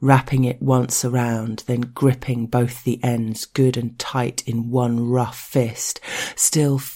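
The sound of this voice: The delivery comes in an unforced reading voice.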